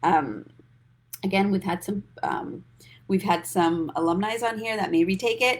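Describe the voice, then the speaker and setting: With vocal fry and medium pitch, a woman talks in ordinary pitch variation, leaving long, frequent pauses. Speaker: financial coach. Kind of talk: live stream talk. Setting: social media livestream. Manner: fast; animated.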